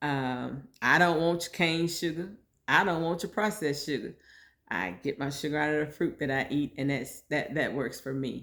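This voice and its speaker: On a very clean recording with a silent background, a woman speaks with a very deep, low pitch and ordinary pitch variation. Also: moderate pace. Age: 60s. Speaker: podcast host sharing personal health story. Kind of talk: personal monologue podcast. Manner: conversational, informal.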